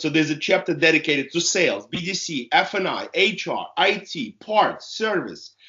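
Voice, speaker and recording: A man talks at a fairly slow pace in a high voice. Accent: Russian. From Russia. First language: Russian. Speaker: author and car business consultant. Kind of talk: interview.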